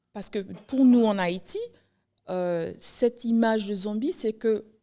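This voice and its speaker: In an English accent, the speaker's dark, mellow voice moves at a very slow pace with ordinary pitch variation. The recording is very clean, with a silent background. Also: woman. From New York (Haitian-born, arrived age two). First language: English (speaking French). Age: 40s. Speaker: writer. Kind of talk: podcast interview. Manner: halting, with frequent repetitions.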